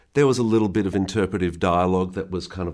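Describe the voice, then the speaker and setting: With an Australian accent and ordinary pitch variation, the speaker comes through on a very clean recording with a silent background. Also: man. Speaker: supervising sound editor. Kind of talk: interview.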